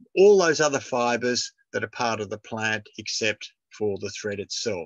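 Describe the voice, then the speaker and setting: A man with an Australian accent speaks at a fairly slow pace, his medium-pitched voice bright and sharp. The sound is dry and close with no echo, against a quiet background. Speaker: retired professor giving a talk. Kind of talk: lecture. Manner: halting.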